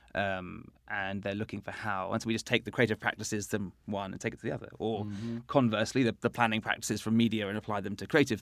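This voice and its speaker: A man with a fairly low pitch and fairly even intonation talks at a very fast pace on a very clean recording with a silent background. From England. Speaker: strategy consultant and agency founder. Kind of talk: interview conversation.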